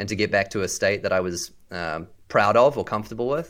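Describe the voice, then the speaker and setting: This very clean recording has a silent background. The speaker talks at a fairly quick pace with lively intonation and a New Zealand accent. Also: man. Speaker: business leader. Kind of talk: casual interview chat.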